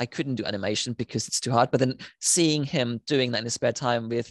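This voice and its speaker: A man talks at a very fast pace with fairly even intonation. The sound is dry and close, with no echo. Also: quiet background. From Germany. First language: German. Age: 30s. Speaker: animator and filmmaker. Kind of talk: interview conversation.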